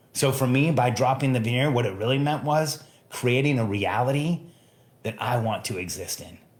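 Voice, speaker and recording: Somewhat breathy, a man speaks at a moderate pace. His medium pitch moves with ordinary variation. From Mexico. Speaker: podcast host, entrepreneur coach. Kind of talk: solo podcast monologue. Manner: emphatic.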